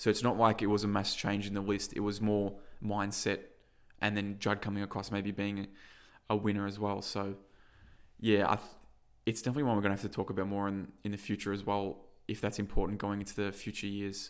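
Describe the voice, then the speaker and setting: A man's fairly low-pitched voice with an Australian accent at a fairly quick pace, on a very clean recording with a silent background. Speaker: football podcast co-host. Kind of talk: casual sports chat, match review. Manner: emotional, animated.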